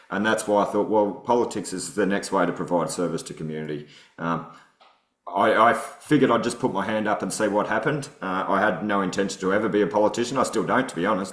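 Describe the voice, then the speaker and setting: A man speaks very fast in an Australian accent, with ordinary pitch variation. Audible room echo surrounds his voice. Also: fairly low pitch for a man. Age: 40s. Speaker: political candidate, former soldier and bricklayer. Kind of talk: podcast interview. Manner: casual, many fillers.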